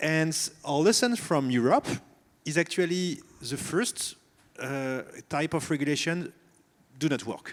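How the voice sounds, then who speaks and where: At a fairly slow pace with long, frequent pauses, a man with a slight French accent talks in a fairly high pitch with lively intonation. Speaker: company CEO, panelist. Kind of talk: panel discussion. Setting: stage with audience.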